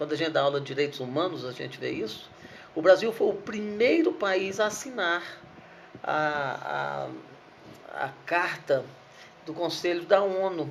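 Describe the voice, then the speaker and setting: A man with a high pitch talks at a fairly slow pace, leaving long, frequent pauses. His pitch varies in an ordinary way, and audible room echo surrounds him. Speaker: law professor. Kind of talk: lecture. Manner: halting, repeats words.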